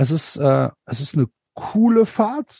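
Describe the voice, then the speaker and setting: Very slow and dry, close with no echo, a man's fairly high, dark, mellow voice moves through very wide pitch swings. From Germany, Cologne. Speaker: podcaster and football fan. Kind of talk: casual chat.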